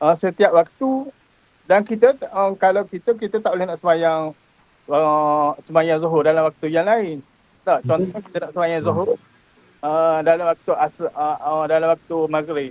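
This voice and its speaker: A man's high voice at a moderate pace with ordinary pitch variation. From Kelantan, Tanah Merah. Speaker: Islamic studies teacher. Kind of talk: interview. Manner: halting.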